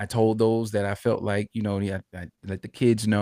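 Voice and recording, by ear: A quiet background lies behind someone reading aloud in a natural voice.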